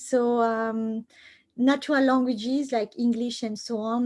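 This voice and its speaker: A woman with a French accent, fairly high in pitch, at a fairly slow pace. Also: very clean recording, silent background. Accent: French accent, still noticeable. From France. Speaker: computer science professor. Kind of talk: lecture. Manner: halting, many fillers.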